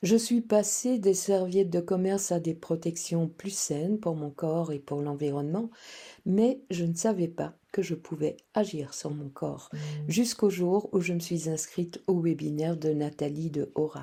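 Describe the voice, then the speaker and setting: On a very clean recording with a silent background, a woman talks at a fairly slow pace in a dark, mellow tone, with fairly low pitch and ordinary pitch variation. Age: 70s. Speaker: client giving a testimonial. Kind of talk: testimony.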